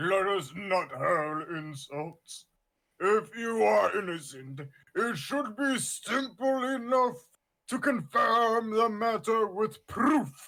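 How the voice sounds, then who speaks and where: Putting on a character voice, a man speaks at a very slow pace with a high pitch and very wide pitch swings. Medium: game stream. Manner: pompous, theatrical.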